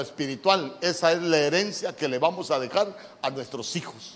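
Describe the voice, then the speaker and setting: A man speaks in a high pitch with ordinary pitch variation at a fairly slow pace. Noticeable background noise can be heard. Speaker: pastor. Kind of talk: sermon. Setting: church. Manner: animated.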